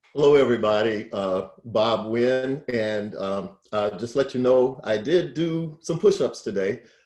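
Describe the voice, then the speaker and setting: The speaker has an ordinary speaking voice and an American accent, talking at a fairly slow pace with ordinary pitch variation and hardly any pauses. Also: man, medium pitch for a man. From US South, North Carolina (Greensboro). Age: 60s. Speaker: financial educator, nonprofit founder. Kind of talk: educational talk on video call. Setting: video call.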